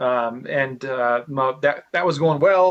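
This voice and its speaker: A man mumbles as he talks. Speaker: real estate investor. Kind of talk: interview. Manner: fast; stutters and mumbles.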